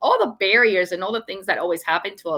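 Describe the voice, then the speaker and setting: A woman with a Venezuelan accent speaks at a very fast pace in a bright, sharp tone. Her pitch variation is ordinary, and the recording is very clean with a silent background. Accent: Venezuelan Spanish accent, noticeable. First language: Spanish. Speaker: storytelling author and speaker. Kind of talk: live stream interview. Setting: livestream. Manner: animated.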